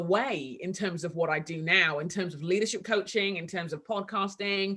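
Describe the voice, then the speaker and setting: Over noticeable background noise, a woman speaks at a moderate pace with a strong London accent. Her intonation is lively. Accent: heavy London English. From London, England. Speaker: author and leadership coach. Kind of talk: casual interview. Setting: video call.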